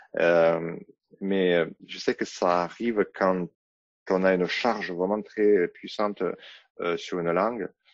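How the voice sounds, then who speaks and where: A man's very deep, low voice with a Russian accent and long, frequent pauses. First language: Russian (speaking French). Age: 40s. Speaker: podcast guest. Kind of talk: casual interview conversation. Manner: hesitant, many fillers.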